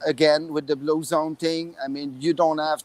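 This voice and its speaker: The man speaks with a strong French Canadian accent. His pitch is fairly high. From Quebec, Montreal. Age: 50s. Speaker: expat resident. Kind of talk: casual panel chat. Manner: halting, many fillers.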